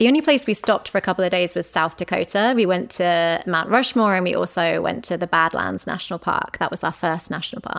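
A woman with a British accent talks at a very fast pace with hardly any pauses, her medium pitch showing ordinary variation on a very clean recording with a silent background. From Britain. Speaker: travel journalist and podcast host. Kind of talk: casual interview chat.

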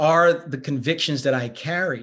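A man with an unremarkable speaking voice talks at a fairly slow pace with fairly even intonation. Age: 40s. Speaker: pastor and author. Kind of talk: podcast interview.

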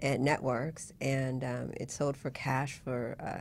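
A woman speaks at a very deep, low pitch. Her intonation is monotone and flat. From Vietnam, raised in US. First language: Vietnamese. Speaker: web consultant, entrepreneur. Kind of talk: casual interview.

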